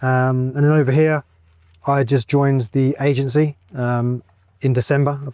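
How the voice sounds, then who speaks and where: A man with an English accent, fairly high-pitched, monotone and flat, in a dry, close sound with no echo. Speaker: real estate agent. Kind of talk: casual interview. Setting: outdoors in a golf cart.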